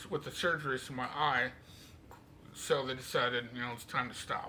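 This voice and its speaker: Audible room echo surrounds a man's bright, sharp voice at medium pitch. He keeps a moderate pace and fairly even intonation. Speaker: vlogger sharing medical journey. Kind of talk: personal video diary. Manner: casual, conversational.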